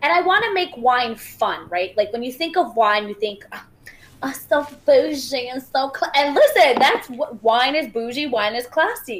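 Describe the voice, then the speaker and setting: Over noticeable background noise, a woman speaks at a moderate pace in a high voice. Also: lively intonation. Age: 20s. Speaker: dancer, actress and show host. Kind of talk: casual chat. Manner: laughs a lot.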